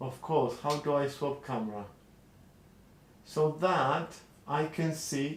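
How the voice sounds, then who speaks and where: A man with a non-native accent and a fairly high pitch, very slow in pace, with fairly even intonation and long, frequent pauses. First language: not English. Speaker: street artist and vlogger. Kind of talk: casual live stream chat. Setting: live stream from home studio. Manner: hesitant, with fillers and restarts.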